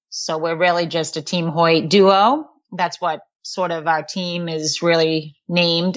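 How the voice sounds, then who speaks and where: In a Boston accent, a woman speaks at a fairly slow pace with a fairly low pitch and fairly even intonation. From Massachusetts, Boston area. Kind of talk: interview.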